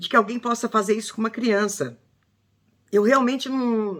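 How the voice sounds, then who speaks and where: A woman is heard here. She has a fairly high pitch. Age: 60s. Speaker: true crime commentator. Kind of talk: casual video commentary. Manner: emotional, halting with false starts.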